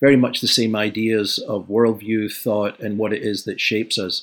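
A man with a Scottish accent at medium pitch, monotone and flat in intonation, at a moderate pace, on a very clean recording with a silent background. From Scotland, Glasgow. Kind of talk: interview discussion.

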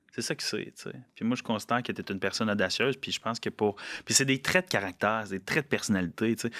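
An ordinary speaking voice at a fairly quick pace, on a very clean recording with a silent background. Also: man. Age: 20s. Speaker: podcast host. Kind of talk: casual interview. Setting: studio.

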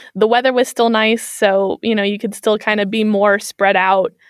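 A woman speaks with an American accent at a medium pitch. Her pace is moderate and her intonation fairly even. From US Midwest, Kansas City, Missouri. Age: 20s. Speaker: interview guest. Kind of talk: casual interview. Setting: remote call.

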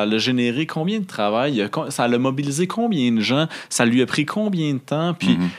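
Pitch swings very widely as the speaker proceeds at a fairly slow pace. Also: man. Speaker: agile coach and conference speaker. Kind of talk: casual chat. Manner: halting, many repetitions.

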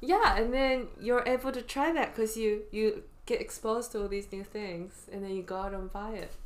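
A woman speaks at a moderate pace with a fairly high pitch and ordinary pitch variation, hardly pausing, over noticeable background noise. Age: 20s. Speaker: podcast co-host. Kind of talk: casual chat.

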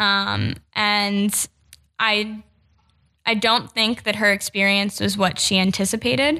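Very slowly, with long and frequent pauses, a woman with an American accent speaks at a medium pitch in a bright, sharp tone, her intonation fairly even and her loudness very even, on a very clean recording with a silent background. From New Jersey. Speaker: policy researcher, former foster youth. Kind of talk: personal testimony in podcast interview.

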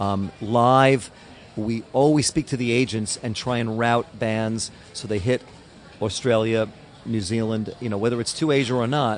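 Fairly even intonation carries a normal speaking voice. The pace is moderate. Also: man, medium pitch for a man. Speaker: record label owner. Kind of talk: interview. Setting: hotel.

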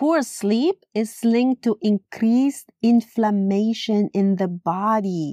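With a Latin American accent, the speaker talks very slowly in a dark, mellow tone, keeping loudness very even, with ordinary pitch variation and hardly any pauses. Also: woman, fairly high pitch for a woman. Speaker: podcast host, yoga teacher.

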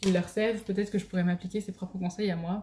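A woman's somewhat breathy, dark, mellow voice at medium pitch, with fairly even intonation. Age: 20s. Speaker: podcast host. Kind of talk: casual monologue. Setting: at home on video.

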